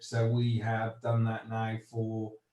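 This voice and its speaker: A man's medium-pitched voice sounds somewhat breathy, with a dark, mellow tone. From Wales. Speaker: agricultural investment executive. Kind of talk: panel discussion. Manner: halting.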